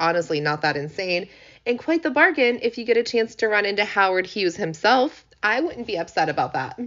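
A woman with a medium pitch talks at a moderate pace in an animated tone with lively intonation. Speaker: podcast host. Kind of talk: ghost story telling; casual solo podcast. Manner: animated, chatty.

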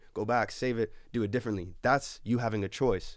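Here is a man with a Canadian accent in an ordinary speaking voice, medium in pitch with ordinary variation. He talks at a fairly quick pace in a very clean recording with a silent background. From Canada, Edmonton. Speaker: recording artist. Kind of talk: casual chat.

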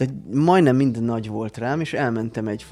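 A man's medium-pitched voice with a dark, mellow tone, ordinary pitch variation and a fairly slow pace. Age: 30s. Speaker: podcast co-host. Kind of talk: casual chat. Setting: studio.

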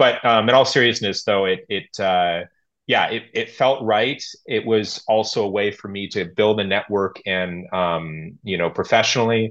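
Someone with an American accent uses an ordinary speaking voice at a moderate pace, with ordinary pitch variation and a quiet background. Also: man, fairly low pitch for a man. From United States. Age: young. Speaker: expat business professional. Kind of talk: conversational interview. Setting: video call.

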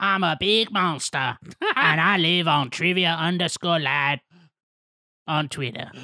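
A raspy, gruff, nasal put-on character voice at a middle pitch, very slow in pace, with long, frequent pauses.

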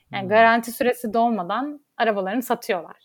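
This woman has a plain, everyday voice with a fairly high pitch. She talks at a fairly quick pace on a very clean recording with a silent background. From Turkey, Istanbul. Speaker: lawyer. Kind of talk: interview.

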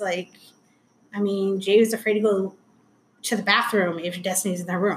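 Long, frequent pauses, an American accent, a fairly quick pace, a somewhat breathy sound and monotone, flat intonation. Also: woman. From Anaheim, California. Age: 40s. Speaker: guest, mother and stepmom. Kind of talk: casual interview, personal storytelling.

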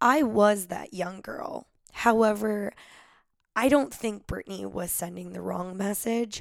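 A woman speaks at a fairly slow pace in an animated tone. Her loudness swings widely. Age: 30s. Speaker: music podcast host. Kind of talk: casual solo podcast monologue.

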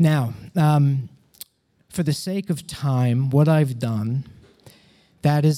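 An American-accented man with a dark, mellow tone and ordinary pitch variation. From United States. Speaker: comedian and storyteller. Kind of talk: personal storytelling performance. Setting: stage with audience.

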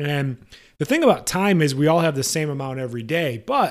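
Over a very clean recording with a silent background, a man with a fairly high pitch talks at a fairly quick pace in an energetic tone with ordinary pitch variation. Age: 30s. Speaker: podcast host and massage therapy educator. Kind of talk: solo podcast monologue.

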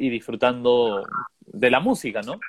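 A man talks at a moderate pace. His pitch sits in the medium range. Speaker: musician. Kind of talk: casual chat.

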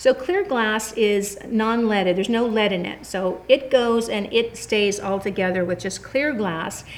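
A woman with an American accent and an ordinary speaking voice, fairly high in pitch with ordinary pitch variation, at a fairly slow pace with hardly any pauses. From California. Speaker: glass artist and gallery owner. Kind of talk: interview. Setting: in her gallery studio.

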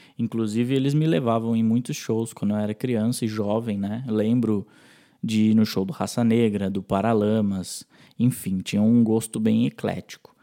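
A man's medium-pitched voice, dark and mellow in tone, at a moderate pace with fairly even intonation, on a very clean recording with a silent background. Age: 20s. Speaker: music producer and musician. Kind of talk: recorded interview testimony.

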